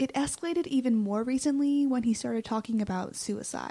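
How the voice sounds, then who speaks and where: A woman's fairly high voice of dark, mellow tone, with ordinary pitch variation and a moderate pace. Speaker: student podcast co-host. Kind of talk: scripted narration.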